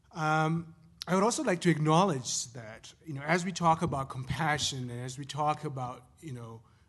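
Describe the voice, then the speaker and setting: With a non-native accent, a man speaks at a moderate pace and a fairly high pitch. His pitch variation is ordinary, while his loudness swings widely. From Zimbabwe. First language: not English. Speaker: professor. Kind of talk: panel talk. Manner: halting.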